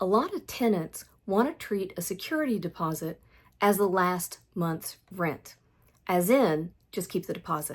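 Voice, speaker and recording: On a very clean recording with a silent background, a woman with a plain, everyday voice speaks at a moderate pace and medium pitch, her intonation lively. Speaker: landlord. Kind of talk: talk to camera.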